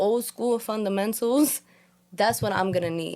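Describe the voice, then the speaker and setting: Animated speech from a woman in a New York accent, medium in pitch, with ordinary pitch variation. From New York, Puerto Rican family. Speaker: podcast host. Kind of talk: casual chat. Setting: studio.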